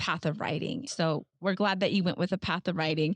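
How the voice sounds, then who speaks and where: A woman with a plain, everyday voice and ordinary pitch variation is heard with a dry, close sound with no echo against a quiet background. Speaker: podcast host. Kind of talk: interview.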